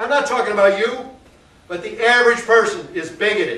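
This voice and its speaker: A man with an American accent speaks in a raised, projected voice of extremely high pitch. Noticeable background noise and audible room echo fill the recording. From US South. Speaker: artist and educator. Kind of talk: political rant to a gallery audience. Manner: loud; animated.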